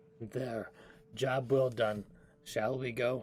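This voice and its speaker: Raspy and monotone with flat intonation, a man does a put-on character voice at a medium pitch. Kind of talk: formal fantasy diction. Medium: actual play. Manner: formal, measured.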